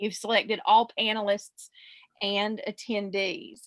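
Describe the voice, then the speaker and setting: A woman with a South Carolina accent, speaking at a fairly slow pace. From US South, South Carolina. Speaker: social media marketing expert. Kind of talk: webinar presentation.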